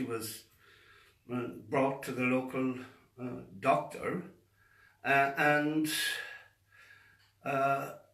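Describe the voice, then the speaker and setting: In a room with audible echo, a man speaks with an Irish accent. His pitch is medium and his pace very slow. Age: 70s. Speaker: faith healer. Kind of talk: monologue to camera.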